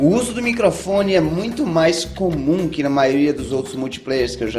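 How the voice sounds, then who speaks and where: With music in the background and audible room echo, a man talks at a moderate pace in a fairly high pitch with lively intonation. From Brazil. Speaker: gaming video host and interviewer. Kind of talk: game review narration and interview questions.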